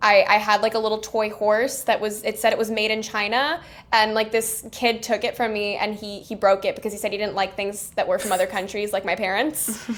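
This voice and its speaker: A woman with an American accent, fairly high in pitch and flat in a monotone, at a fairly quick pace with hardly any pauses. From Miami, Florida, US. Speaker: film director. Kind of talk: casual interview.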